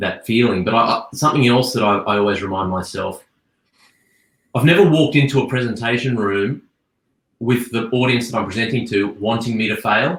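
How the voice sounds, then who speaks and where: Here a man talks at a fairly quick pace with an Australian accent. His pitch is medium, with ordinary variation. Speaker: advertising creative director. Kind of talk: panel Q&A discussion. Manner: halting, repeats words.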